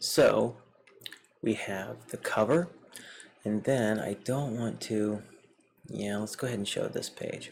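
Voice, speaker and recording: The speaker talks at a very slow pace with a slight Southern US accent. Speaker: comic book reviewer. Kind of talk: casual video review. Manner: casual with frequent fillers.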